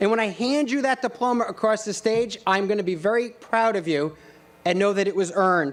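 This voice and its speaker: With a Rhode Island accent, a man speaks at a fairly quick pace in a high pitch. His loudness stays very even. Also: ordinary pitch variation. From Rhode Island (Johnston). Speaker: college president. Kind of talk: commencement speech.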